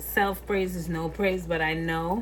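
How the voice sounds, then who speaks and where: A woman speaks at a fairly slow pace with a West Indian accent. Noticeable background noise and audible room echo fill the recording. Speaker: cooking vlogger. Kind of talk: cooking tutorial. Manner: casual, chatty.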